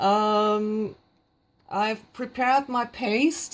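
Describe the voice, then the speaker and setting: A woman with a German accent, at a very slow pace. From Germany. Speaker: craft tutorial maker. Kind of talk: tutorial. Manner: halting, many fillers.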